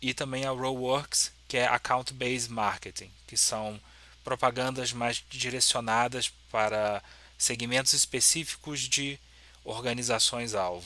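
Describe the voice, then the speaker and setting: A man's bright, sharp tone at a fairly slow pace. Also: medium pitch for a man, fairly even intonation. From Brazil, Petrópolis, Rio de Janeiro state. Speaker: software developer and YouTuber. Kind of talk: lecture. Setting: symposium talk with audience. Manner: hesitant, many fillers.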